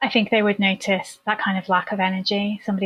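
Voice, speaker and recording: With an English accent, a woman talks at a fairly quick pace in a medium pitch, somewhat breathy and with fairly even intonation. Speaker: therapist, former nurse. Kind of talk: podcast interview.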